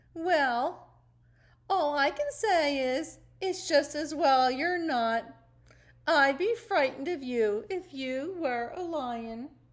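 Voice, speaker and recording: Using a put-on character voice, a woman speaks very slowly at a high pitch in a very clean recording with a silent background. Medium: read story.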